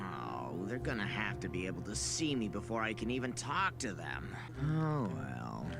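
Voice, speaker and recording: Over loud background noise, a man does a cartoonish character voice at a moderate pace. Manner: casual, offhand.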